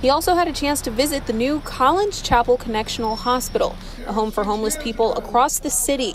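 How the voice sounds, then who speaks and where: Through noticeable background noise, a woman speaks at a very fast pace with a high pitch and lively intonation. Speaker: TV news reporter. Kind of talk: live TV news report. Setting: outdoors.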